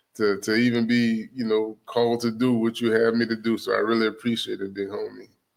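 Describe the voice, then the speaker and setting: Barely pausing, a man talks at a fairly quick pace with a medium pitch and monotone, flat intonation. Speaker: podcast guest, business advice. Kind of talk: casual interview chat. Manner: fast.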